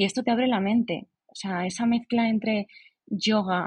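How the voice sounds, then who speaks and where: Her voice is somewhat breathy. The woman speaks with ordinary pitch variation. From Spain, Alicante province. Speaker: writer. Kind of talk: casual interview chat.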